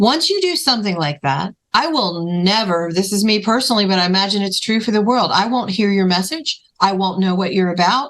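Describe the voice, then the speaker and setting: In an ordinary speaking voice, a woman talks at a fairly quick pace with lively intonation, a medium pitch, very even loudness and hardly any pauses. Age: 50s. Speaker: podcast host and filmmaker. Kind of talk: interview chat.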